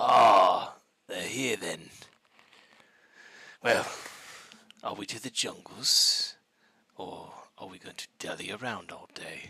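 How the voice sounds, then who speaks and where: A raspy put-on character voice moves at a fairly slow pace, broken by long, frequent pauses. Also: man. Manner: impatient, brusque.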